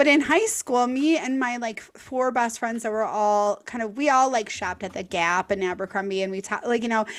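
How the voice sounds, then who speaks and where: A woman's fairly high voice, an unremarkable speaking voice at a moderate pace, with ordinary pitch variation and hardly any pauses. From US Midwest, Milwaukee, Wisconsin. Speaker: podcast host, content creator. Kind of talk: casual chat.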